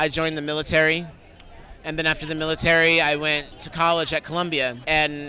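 Speaking at a fairly quick pace with an American accent, this voice comes through over crowd noise in the background. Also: man. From New York City. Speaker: documentary filmmaker. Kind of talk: red carpet interview.

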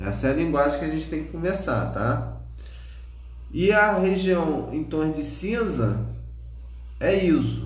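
Amid noticeable background noise and audible room echo, a man speaks with long, frequent pauses. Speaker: radiology course instructor. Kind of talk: lecture. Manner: casual, with frequent filler words.

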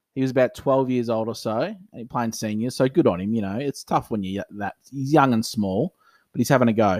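On a very clean recording with a silent background, a man with an Australian accent talks at a fairly quick pace with ordinary pitch variation and a dry, close sound with no echo. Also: medium pitch for a man. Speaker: podcast co-host, club cricketer. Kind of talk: casual chat.

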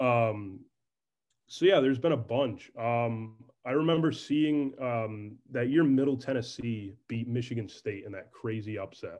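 In an ordinary speaking voice, a man talks at a medium pitch and a fairly slow pace. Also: ordinary pitch variation. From upstate New York, Albany area. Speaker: student sports journalist. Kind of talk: casual interview chat.

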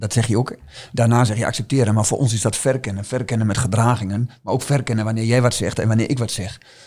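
Speaking at a very fast pace, a man has a somewhat breathy voice, medium pitch and fairly even intonation. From eastern Netherlands, Twente (Oldenzaal). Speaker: team coach. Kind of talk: podcast interview.

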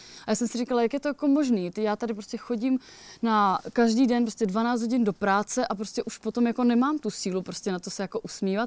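In a very clean recording with a silent background and a dry, close sound with no echo, a woman talks at a very fast pace and a fairly high pitch with ordinary pitch variation. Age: 30s. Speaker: hiker and author. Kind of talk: casual interview. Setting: outdoors at a mountain cottage.

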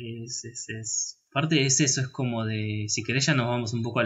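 A man speaks at a moderate pace with a Rioplatense accent. His pitch sits in the medium range. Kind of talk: casual chat about film. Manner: halting, repeats words, filler words.

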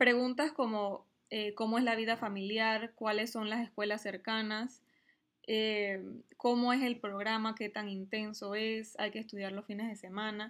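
Fairly high in pitch, a woman talks at a fairly slow pace. Her intonation stays monotone and flat. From Panama. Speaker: MBA student and mother. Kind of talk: interview.

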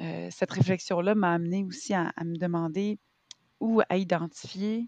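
Very slow speech in a Quebec accent, ordinary pitch variation, a quiet background, and a dry, close sound with no echo. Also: woman. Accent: Québécois French. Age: 30s. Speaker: actress and arts entrepreneur. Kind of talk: casual interview. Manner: hesitant, many fillers.

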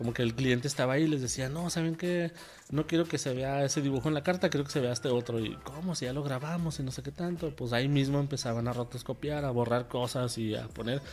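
Hardly pausing, a man rattles along at a very fast pace in a medium pitch with ordinary pitch variation. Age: 30s. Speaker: podcast host, freelance creative in advertising. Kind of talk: solo monologue podcast. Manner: serious-sounding voice; hesitant, many fillers.

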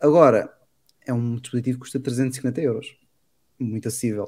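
His voice carries a dark, mellow tone. The man's intonation remains fairly even. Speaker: tech podcast host. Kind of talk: casual chat.

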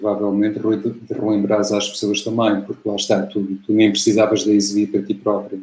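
A man with a European Portuguese accent speaks at a moderate pace, with hardly any pauses. His fairly low voice holds a monotone, flat intonation. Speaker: football commentator. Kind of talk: casual interview.

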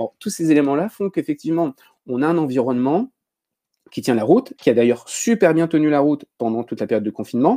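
In a dry, close sound with no echo, a man with a fairly high pitch and a dark, mellow tone speaks at a very fast pace with lively intonation. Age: 40s. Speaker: teacher and educational technology trainer. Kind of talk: casual chat.

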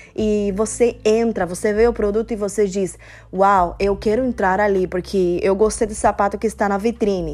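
A woman's medium-pitched voice, flat and monotone, at a moderate pace. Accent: Spanish. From Cuba. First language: Spanish (speaking Portuguese). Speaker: devotional speaker. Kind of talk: devotional talk.

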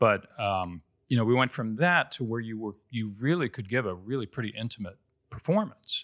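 In a dry, close recording with no echo, very clean and with a silent background, a man with a Midwestern accent speaks at a moderate pace and medium pitch with ordinary pitch variation. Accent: General American (Midwest). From Ohio, Cincinnati. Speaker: Broadway actor. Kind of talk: casual interview.

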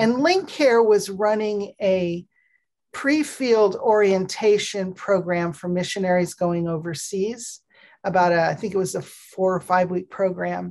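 An ordinary speaking voice from a woman with an American accent, medium in pitch, fairly slow, with ordinary pitch variation. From Pakistan, then Minnesota from age 14. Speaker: cross-cultural trainer and author. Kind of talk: interview.

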